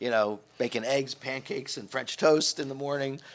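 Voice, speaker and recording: At a fairly quick pace, a man talks in an unremarkable speaking voice, medium in pitch with ordinary pitch variation. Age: 60s. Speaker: hotel executive. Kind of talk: interview. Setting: studio.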